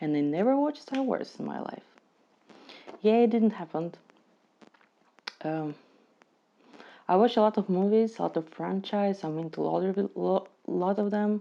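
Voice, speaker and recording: A woman speaks at a moderate pace in a non-native accent, her medium-pitched voice lively in intonation and broken by long, frequent pauses. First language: not English. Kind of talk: casual movie reaction to camera.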